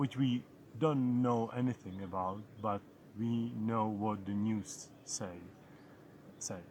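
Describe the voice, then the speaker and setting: Very slowly and with long, frequent pauses, a man speaks at a fairly low pitch in a Czech accent. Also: ordinary pitch variation. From Czech Republic. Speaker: travel vlogger. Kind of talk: casual vlog monologue. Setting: outdoors. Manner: halting, with repetitions.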